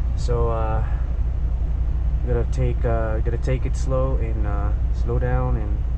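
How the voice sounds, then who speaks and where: The speaker talks at a fairly slow pace in a dry sound with no echo. Noticeable background noise runs underneath. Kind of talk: casual vlog chat. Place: car. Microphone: phone near.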